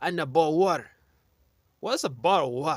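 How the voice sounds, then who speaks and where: A man with a Kenyan accent talks at a fairly high pitch with ordinary variation. The recording is very clean, with a silent background. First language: Kenyan local language (English third or fourth). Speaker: online commentator. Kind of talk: casual commentary monologue. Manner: animated.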